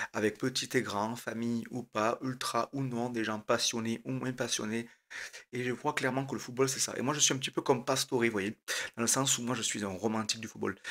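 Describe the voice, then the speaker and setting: The recording is very clean, with a silent background. A man talks at a moderate pace with medium pitch and fairly even intonation. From southern France, Aveyron (Rodez). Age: 30s. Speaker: trainee radio host. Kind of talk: audition pitch to camera. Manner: hesitant, many fillers.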